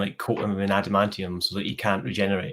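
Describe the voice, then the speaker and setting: A man speaks at a fairly quick pace with a Scottish accent. The recording is very clean, with a silent background. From Scotland. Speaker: comic book YouTuber. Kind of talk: casual interview chat. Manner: hesitant, many fillers.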